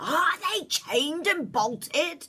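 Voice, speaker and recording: A loud, raspy, female-sounding put-on character voice comes out robotic and at an extremely high pitch for a woman. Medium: read story. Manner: commanding, shouting.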